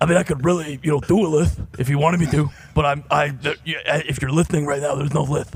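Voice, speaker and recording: A man talks at a very fast pace with a fairly high pitch and fairly even intonation. Noticeable background noise can be heard. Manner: defensive, joking.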